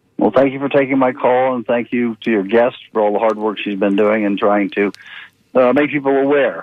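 A man with an ordinary speaking voice and an American accent, medium-pitched, fairly even in intonation, at a fairly quick pace. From Tampa, Florida. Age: 60s. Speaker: caller. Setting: phone call.

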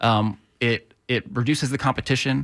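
Recorded very cleanly against a silent background with a dry, close sound and no echo, a man with an American accent speaks at a medium pitch with ordinary variation. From Tampa, Florida. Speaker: housing advocate. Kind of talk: radio interview.

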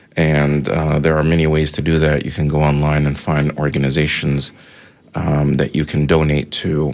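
Noticeable background noise surrounds a man speaking at a moderate pace in a very deep, low voice with monotone, flat intonation. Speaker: radio host. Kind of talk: radio interview and discussion. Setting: radio studio. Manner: hesitant, many fillers.

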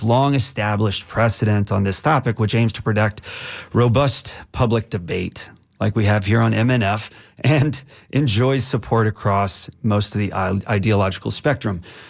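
A man's plain, everyday voice, fairly low in pitch with ordinary pitch variation, at a moderate pace. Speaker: radio host. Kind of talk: talk radio with callers. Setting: radio studio.

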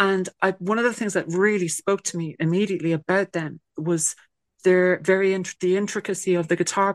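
A woman speaks in an Irish accent at a medium pitch with fairly even intonation. Her pace is moderate and the background is quiet. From Ireland. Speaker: singer-songwriter. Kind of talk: casual interview chat.

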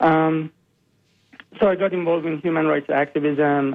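A man speaks in a monotone with flat intonation. He has a Persian accent. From Iran. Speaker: biomedical scientist and animal rights activist. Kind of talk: radio interview.

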